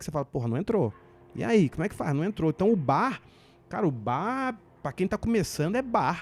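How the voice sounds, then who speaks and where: A man speaks at a high pitch with very wide pitch swings and a fairly quick pace. Music plays in the background, and the sound is dry and close with no echo. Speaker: stand-up comedian. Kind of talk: podcast interview. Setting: podcast. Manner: fast.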